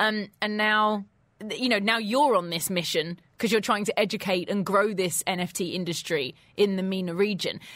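A woman with a plain, everyday voice speaks at a fairly quick pace and a fairly high pitch on a very clean recording with a silent background. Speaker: radio host. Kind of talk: radio interview. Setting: studio.

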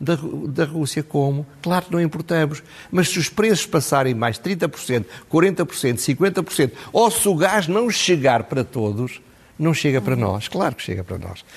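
Fairly high in pitch, with vocal fry, a man speaks at a moderate pace while his pitch swings very widely. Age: 70s. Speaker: political commentator. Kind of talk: TV commentary interview.

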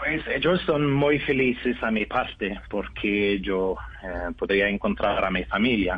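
Against noticeable background noise, a man talks at a very slow pace. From Norway. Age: 30s. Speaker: adoptee reunited with family. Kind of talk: interview. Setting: phone call. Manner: halting.

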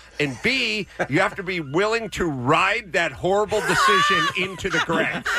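With an American accent, this raised, projected voice moves at a moderate pace with lively intonation over noticeable background noise. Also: man, high pitch for a man. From US West Coast, North Hollywood. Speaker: former radio host. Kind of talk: casual chat.

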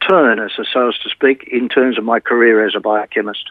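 This man talks at a moderate pace and a medium pitch. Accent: Australian. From Australia, Melbourne. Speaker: retired teacher. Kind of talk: interview testimony. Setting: remote from home.

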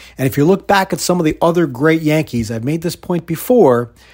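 Lively intonation runs through a man's fairly high voice. It is an unremarkable speaking voice. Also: very clean recording, silent background. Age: 50s. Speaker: sports radio host. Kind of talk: monologue podcast commentary. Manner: conversational, with fillers.

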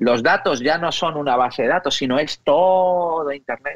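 A man speaks with an unremarkable speaking voice. His pitch is fairly high and varies in an ordinary way. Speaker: technology expert. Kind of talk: interview.

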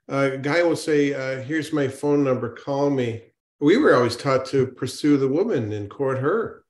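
This is a normal speaking voice, keeping to a moderate pace. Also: man. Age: 60s. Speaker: natural medicine doctor. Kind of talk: panel discussion.

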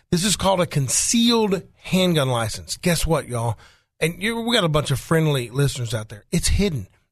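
Very wide pitch swings at a fairly quick pace, in an Arkansas accent. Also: man, fairly high pitch for a man. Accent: Southern US (Arkansas). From Arkansas, Faulkner County. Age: 50s. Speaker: attorney. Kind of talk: casual talk radio discussion. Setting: radio studio.

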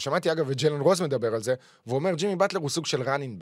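This man's voice sits fairly high in pitch, with ordinary variation in how it rises and falls. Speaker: sports podcast host. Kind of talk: casual chat.

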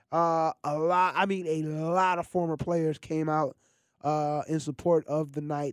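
This man's voice sits fairly high and stays monotone, with flat intonation. The recording is very clean, with a silent background. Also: dry, close sound with no echo. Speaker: high school sports radio host. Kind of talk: sports radio show. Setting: studio.

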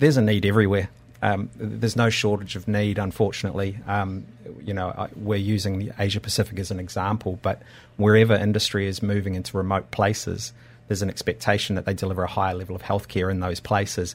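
This man has an Australian accent and talks at a very fast pace with fairly even intonation. The recording is very clean, with a silent background. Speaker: doctor and company founder. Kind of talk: radio interview. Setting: studio.

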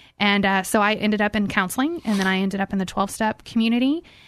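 A woman at medium pitch, fairly quick pace, quiet background. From Houston, Texas. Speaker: recovery school director. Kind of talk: radio interview.

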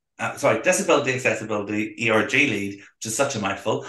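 A man with a Belfast accent talks at a fairly quick pace. The room echo is audible. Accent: Belfast Northern Irish. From Northern Ireland, Belfast. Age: 30s. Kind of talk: casual interview chat.

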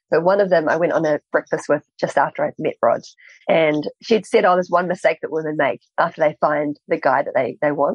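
A woman speaks in a New Zealand accent. Her pace is fairly quick. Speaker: author and entrepreneur. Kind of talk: interview. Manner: halting.

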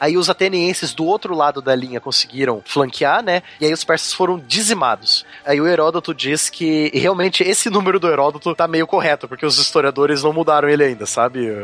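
A man's fairly high pitch with ordinary pitch variation, a fairly quick pace and hardly any pauses, in a dry, close sound with no echo and noticeable background noise. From southern Brazil, Curitiba. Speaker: history teacher. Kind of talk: casual podcast chat explaining history.

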